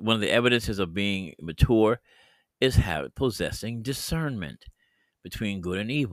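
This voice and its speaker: A man speaks at a medium pitch and a moderate pace with lively intonation. The recording is very clean, with a silent background. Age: 60s. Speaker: podcast host and bible teacher. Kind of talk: bible teaching monologue. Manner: halting, many fillers.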